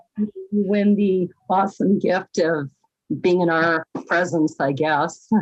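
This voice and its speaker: A woman speaks at a very slow pace with fairly even intonation. Her loudness stays very even, and the sound is dry and close with no echo. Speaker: podcast co-host. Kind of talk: casual chat.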